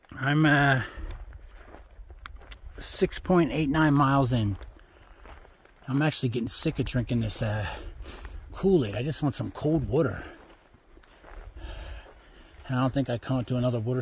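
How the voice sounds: With a slightly husky edge, a man of medium pitch talks at a moderate pace with ordinary pitch variation and long, frequent pauses.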